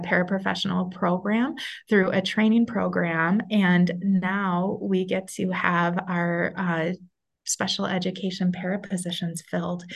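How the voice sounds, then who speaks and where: A somewhat breathy female voice at medium pitch, with fairly even intonation and a moderate pace. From Minnesota. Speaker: school superintendent. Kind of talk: interview.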